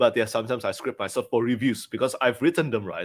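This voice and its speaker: A man with a non-native accent. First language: not English. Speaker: book reviewer. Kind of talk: casual chat.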